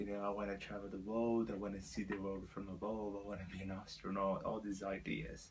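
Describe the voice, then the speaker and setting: A man speaks at a fairly low pitch in a monotone, flat intonation. Audible room echo surrounds his voice. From Brazil, Belo Horizonte. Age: 20s. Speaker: vlogger, student and fitness bodybuilder. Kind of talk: personal vlog storytelling. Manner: hesitant, many fillers.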